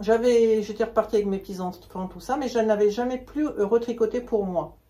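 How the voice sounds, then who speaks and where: A woman with an unremarkable speaking voice talks at a moderate pace, pitched fairly high with ordinary pitch variation and big swings in loudness. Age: 60s. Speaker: knitting hobbyist and shop customer. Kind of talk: casual interview chat.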